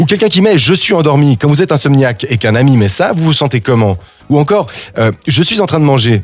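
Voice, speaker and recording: A man's fairly high, somewhat breathy voice at a very fast pace, with very wide pitch swings. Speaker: radio host. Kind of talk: humorous radio column. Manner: ranting, animated.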